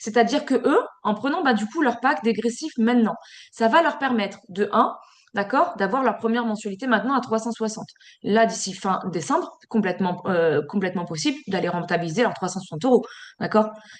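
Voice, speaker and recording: A woman talks at a fairly quick pace with lively intonation. Her pitch is fairly high. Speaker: sales team trainer. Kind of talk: online training session. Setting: video call. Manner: fast; filler-heavy.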